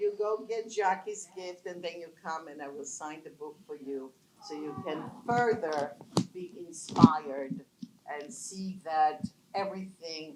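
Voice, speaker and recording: A woman with a fairly low pitch speaks at a fairly slow pace, her loudness swinging widely. Noticeable background noise runs underneath. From Poland. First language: not English. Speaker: business founder, panelist. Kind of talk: panel talk. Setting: conference panel with audience.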